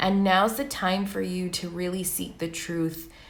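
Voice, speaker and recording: Fairly slow speech from a woman pitched fairly low, in audible room echo. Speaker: tarot reader. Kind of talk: tarot reading. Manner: monotone.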